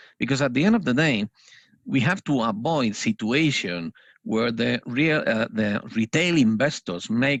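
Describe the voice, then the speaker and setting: A man with a non-native accent speaks at a medium pitch and fairly slow pace with lively intonation, in a dry, close sound with no echo. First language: Spanish. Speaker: financial analyst trainer. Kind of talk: panel discussion. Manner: hesitant, many fillers.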